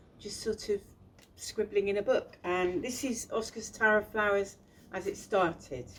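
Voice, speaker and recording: A woman speaks with a strong Bristolian accent. Her medium pitch moves in lively intonation. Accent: thick Bristolian. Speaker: children's author and illustrator. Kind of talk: casual talk about own book. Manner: hesitant, many fillers.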